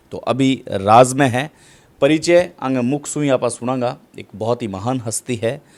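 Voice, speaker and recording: A man's medium-pitched voice with ordinary pitch variation and big swings in loudness. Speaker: local news reporter and interviewer. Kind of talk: interview.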